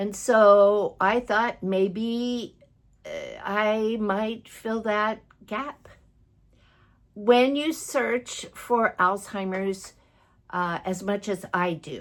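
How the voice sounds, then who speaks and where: A woman's fairly high voice at a very slow pace, with ordinary pitch variation and long, frequent pauses. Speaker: vlogger living with Alzheimer's. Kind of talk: personal vlog talk to camera. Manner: pauses searching for words; halting, self-correcting.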